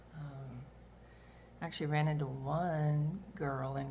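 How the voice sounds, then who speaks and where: This woman's voice is very deep and low in pitch. Audible room echo surrounds it. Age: 60s. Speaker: retiree and reseller vlogger. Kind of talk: casual monologue vlog. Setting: at home, kitchen. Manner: rambling, many fillers.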